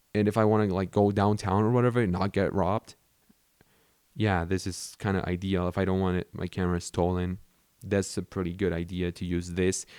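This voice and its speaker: A man's fairly low voice with a Spanish accent at a fairly quick pace, dry and close with no echo, on a very clean recording with a silent background. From Mexico. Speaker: YouTuber. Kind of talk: casual talk to camera. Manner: casual, conversational.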